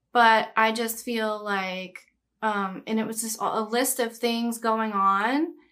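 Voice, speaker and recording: In an American accent, a woman with a fairly high pitch and a bright, sharp tone talks very slowly, her intonation fairly even. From Texas, Brookshire near Houston. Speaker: podcast host. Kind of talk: casual chat.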